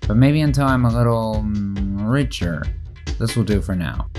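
A man's voice with music in the background. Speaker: video creator narrating own project. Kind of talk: video essay narration.

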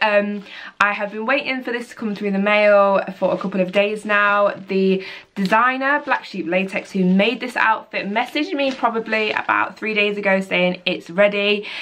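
Amid light background noise, a woman speaks at a moderate pace with ordinary pitch variation. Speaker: cosplayer vlogger. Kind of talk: casual vlog chat. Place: home room. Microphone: camera far.

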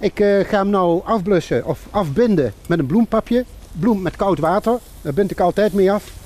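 The man has a high pitch and ordinary pitch variation. He speaks at a moderate pace, with dry sound and no echo. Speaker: cooking show host. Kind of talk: cooking demonstration. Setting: outdoors under a bridge. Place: waterside.

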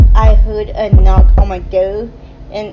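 Music plays in the background. The voice stays monotone, with flat intonation. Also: woman. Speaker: vlogger. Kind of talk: casual vlog chat. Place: cafe. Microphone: phone near.

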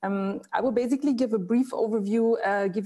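Against a quiet background, a woman with a German accent speaks at a moderate pace. Her tone is dark and mellow, with ordinary pitch variation. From Germany. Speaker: cultural institute director; presenter. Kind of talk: presentation. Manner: hesitant, many fillers. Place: home room. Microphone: earbuds.

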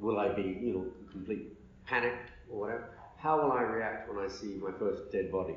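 A man speaks fairly quickly at a medium pitch, somewhat breathy and with ordinary pitch variation. Long, frequent pauses break up his speech, and the room echo is audible. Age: 50s. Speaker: media executive and former journalist. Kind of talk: interview. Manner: halting.

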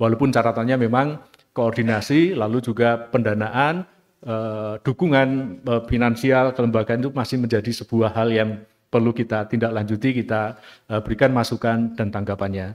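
Against a quiet background, a man speaks at a moderate pace. His intonation stays fairly even. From Indonesia. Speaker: law lecturer and author; law lecturer. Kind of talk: academic presentation. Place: hall. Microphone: podium.

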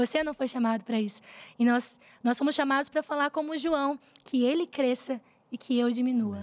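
A woman's high-pitched voice, fairly quick in pace, with fairly even intonation. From Rondônia, Brazil (Cacoal); Rondônia, Brazil. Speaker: gospel singer; guest. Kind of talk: interview, faith testimony. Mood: warm, earnest testimony. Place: studio. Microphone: studio mic.

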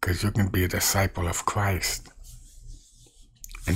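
A man talks at a fairly slow pace, low in pitch, with little pitch movement. His tone is fairly bright.

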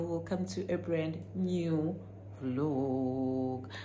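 A woman with a very deep, low pitch makes very wide pitch swings over light background noise. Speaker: vlogger. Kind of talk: casual vlog chat. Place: home room. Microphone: phone near.

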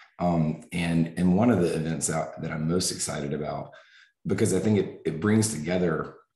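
A man with an American accent and a very deep, low pitch, ordinary pitch variation, a moderate pace and audible room echo. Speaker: family medicine professor. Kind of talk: lecture. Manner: halting.

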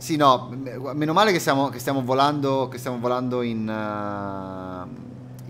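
A man at medium pitch speaks at a very slow pace with ordinary pitch variation. Light background noise can be heard. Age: 30s. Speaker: flight sim streamer. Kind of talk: live stream commentary. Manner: casual, hesitant fillers. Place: home room.

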